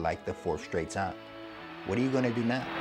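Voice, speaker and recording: Music plays in the background as a man speaks. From United States (Cleveland, Ohio). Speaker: sports and entertainment reporter.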